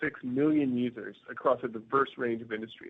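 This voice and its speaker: A man with an American accent and an unremarkable speaking voice. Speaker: company CEO. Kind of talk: investor presentation. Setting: conference call. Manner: formal.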